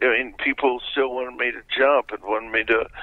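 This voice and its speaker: A man talks at a moderate speed while clear background noise can be heard. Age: 60s. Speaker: former motorcycle stunt jumper and promoter. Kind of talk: interview.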